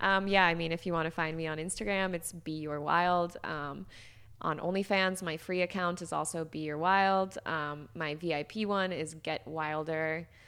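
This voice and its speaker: A woman with a normal speaking voice and an American accent talks at a moderate pace, her pitch fairly low. Her intonation is fairly even, and the recording is very clean with a silent background. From US Midwest, Chicago. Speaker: social media content creator and army veteran. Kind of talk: casual interview chat.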